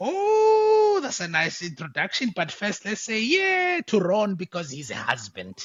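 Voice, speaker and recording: In a South African accent, a man talks at a fairly slow pace. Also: hardly any pauses. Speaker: podcast host. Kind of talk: casual interview chat. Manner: many fillers and hesitations.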